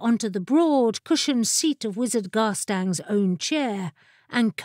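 Lively intonation in a natural voice reading aloud.

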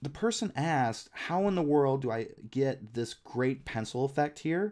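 A man with a plain, everyday voice speaks at a medium pitch. His pace is fairly slow and his intonation lively. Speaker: freelance illustrator and designer, YouTuber. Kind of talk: software tutorial. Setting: home recording with webcam and screen capture.

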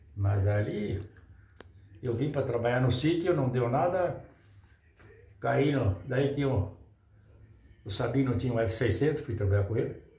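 Breathing somewhat audibly, a man with a dark, mellow tone and ordinary pitch variation speaks at a fairly slow pace. He takes long, frequent pauses, and room echo is audible. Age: 80s+. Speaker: retired truck driver and hammer collector. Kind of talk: casual chat. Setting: at his home. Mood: calm, nostalgic. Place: home room. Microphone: phone near.

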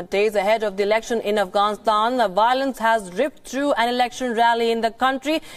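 Using a plain, everyday voice, a woman talks at a fairly quick pace with a fairly high pitch, fairly even intonation, and very even loudness. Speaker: news anchor. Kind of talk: TV news bulletin read.

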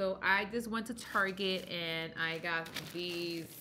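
Light background noise runs under a woman's voice. She speaks at a fairly low pitch and a very slow pace. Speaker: home cooking vlogger. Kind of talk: casual vlog chat. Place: home room. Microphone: phone near.

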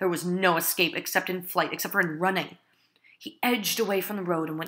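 A passage gets read aloud in a natural voice.

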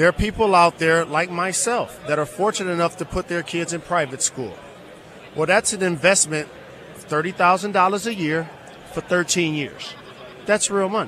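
A man's high pitch at a moderate pace, with big swings in loudness over light background noise. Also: ordinary pitch variation, dry sound with no echo. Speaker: guest. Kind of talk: interview answer. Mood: earnest, persuasive advocacy. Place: hall. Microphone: studio mic.

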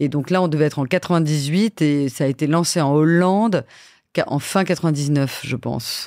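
On a very clean recording with a silent background, a woman speaks very slowly in a very deep, low voice with ordinary pitch variation. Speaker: TV production executive. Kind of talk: interview. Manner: hesitant fillers.

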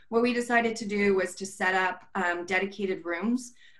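At a moderate pace, this woman talks with an American accent. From California. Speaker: software company director; webinar presenter. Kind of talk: panel presentation. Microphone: video call.

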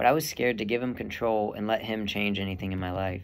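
The pace is very fast. Pitch varies in an ordinary way. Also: man. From Texas. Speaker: seminarian; young man discerning priesthood. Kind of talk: testimony. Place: home room. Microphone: earbuds.

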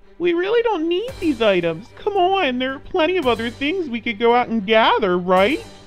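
Someone speaks in a put-on character voice while clear music plays in the background. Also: moderate pace. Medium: read story. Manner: tentative, frightened.

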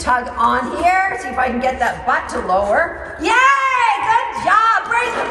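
A woman speaks in a raised, projected voice. The room echoes audibly, and background noise is noticeable. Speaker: dog trainer. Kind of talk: tutorial. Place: hall.

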